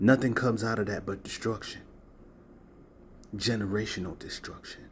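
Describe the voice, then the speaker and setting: At a moderate pace, a man speaks at a fairly low pitch in a somewhat breathy voice. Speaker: spiritual content creator. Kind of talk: motivational talk to camera. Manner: animated.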